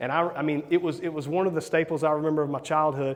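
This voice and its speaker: Someone talks at a fairly quick pace with monotone, flat intonation, in a Southern US accent. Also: man. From US South, South Carolina. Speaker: real estate investor and coach. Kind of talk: conference talk. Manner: casual, hesitant with repeated words.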